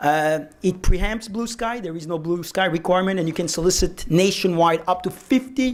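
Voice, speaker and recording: Here a man speaks with a French accent. His voice is high in pitch. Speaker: securities lawyer, panel moderator. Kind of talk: panel discussion. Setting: conference lunch panel.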